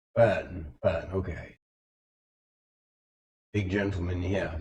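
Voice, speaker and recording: In a raspy, very deep and low put-on character voice, a man speaks at a very slow pace. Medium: actual play. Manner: wary, folksy.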